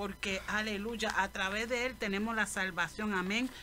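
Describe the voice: A woman's bright, sharp tone with fairly even intonation. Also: medium pitch for a woman, moderate pace.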